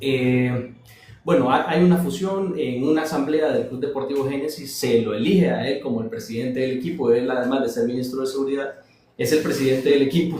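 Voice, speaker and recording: A man with a fairly high voice talks at a fairly quick clip with lively intonation, with audible room echo and noticeable background noise. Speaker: investigative journalist. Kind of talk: casual chat. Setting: TikTok live stream. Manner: soft-spoken.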